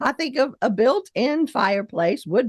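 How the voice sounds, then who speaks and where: A woman speaks at a high pitch with very wide pitch swings. Her pace is fairly slow against a quiet background. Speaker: online video host. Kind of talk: casual video lesson.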